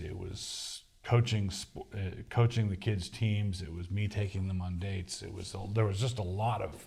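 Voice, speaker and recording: With an American accent, a man talks at a moderate pace in a fairly low, somewhat breathy voice with a dark, mellow tone and fairly even intonation. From US East Coast, Annapolis, Maryland. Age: 60s. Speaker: pastor and author. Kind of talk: Q&A session. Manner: halting, many restarts.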